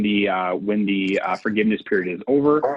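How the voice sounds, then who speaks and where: This man's voice sits at a fairly low pitch. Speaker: payroll services sales representative. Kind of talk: business webinar presentation. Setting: video call. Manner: fast.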